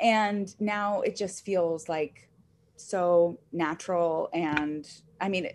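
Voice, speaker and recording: Against a quiet background, a woman with an American accent uses an ordinary speaking voice, fairly low in pitch with ordinary pitch variation. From upstate New York, rural. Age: 20s. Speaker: real estate agent. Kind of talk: casual interview.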